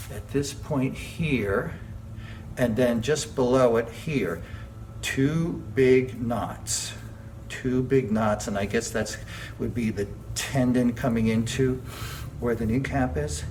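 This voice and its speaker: A man talks very slowly at a medium pitch with ordinary pitch variation and long, frequent pauses, amid audible room echo and noticeable background noise. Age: 60s. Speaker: jazz and tap dancer vlogger. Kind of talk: casual video diary while exercising. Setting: dance studio. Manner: conversational, with effort sounds and pauses.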